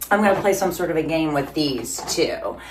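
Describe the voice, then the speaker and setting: Heard with audible room echo and noticeable background noise, a woman speaks at a moderate pace in a very deep, low pitch with ordinary pitch variation. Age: 50s. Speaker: fitness vlogger. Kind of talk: casual vlog. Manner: rambling casual with fillers.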